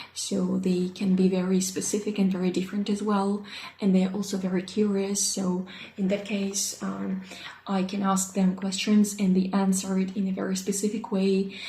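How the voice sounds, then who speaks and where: A woman with a Russian accent talks at a moderate pace and medium pitch in a monotone, flat intonation, with room echo and noticeable background noise audible. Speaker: English teacher. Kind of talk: self-introduction video. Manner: halting, many fillers.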